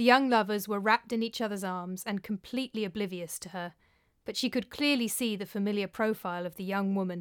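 This is plain reading aloud. The pitch variation is ordinary.

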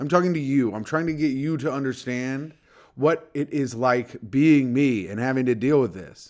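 A man in an ordinary speaking voice, medium pitch, ordinary pitch variation, moderate pace. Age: 30s. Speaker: podcast host. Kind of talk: casual chat. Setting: at home.

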